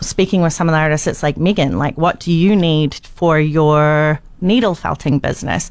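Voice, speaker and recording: This woman speaks with a New Zealand accent. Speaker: documentary filmmaker. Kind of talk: interview.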